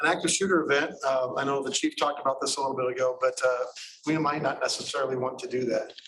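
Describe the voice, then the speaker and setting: With noticeable background noise, a man talks at a very fast pace. His pitch is fairly high and his intonation monotone and flat. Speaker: emergency management presenter. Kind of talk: presentation.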